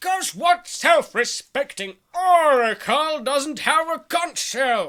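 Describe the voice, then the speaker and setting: A high-pitched, put-on character voice with a pompous tone moves at a fairly slow pace with hardly any pauses. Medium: audio drama. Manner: pompous, bluffing.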